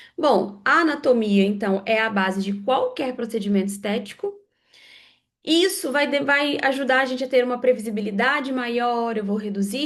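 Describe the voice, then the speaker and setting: Recorded with audible room echo, a woman talks at a high pitch with ordinary pitch variation. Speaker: lecturer in aesthetic facial procedures. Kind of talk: online lecture.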